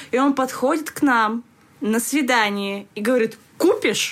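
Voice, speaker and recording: A woman with a high pitch and ordinary pitch variation can be heard against noticeable background noise. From Kazakhstan. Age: 20s. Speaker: podcast co-host, stand-up producer. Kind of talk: casual chat. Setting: studio.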